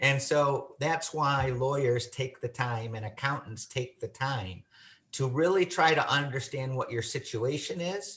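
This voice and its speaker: This man has a normal speaking voice, fairly high in pitch, with an American accent and ordinary pitch variation. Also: fairly slow pace. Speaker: estate planning lawyer. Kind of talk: webinar presentation.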